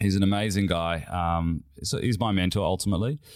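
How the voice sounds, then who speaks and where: A man with an Australian accent on a very clean recording against a silent background. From Western Australia (Perth). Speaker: company CEO. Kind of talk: interview.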